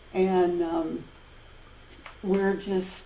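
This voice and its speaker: A woman's dark, mellow voice, fairly low in pitch, with audible room echo. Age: 60s. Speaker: support group member sharing. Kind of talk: testimony.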